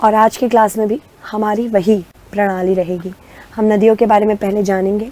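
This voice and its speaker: In a medium pitch, a woman speaks fairly slowly with a monotone, flat intonation. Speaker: online exam-prep teacher. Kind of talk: lecture.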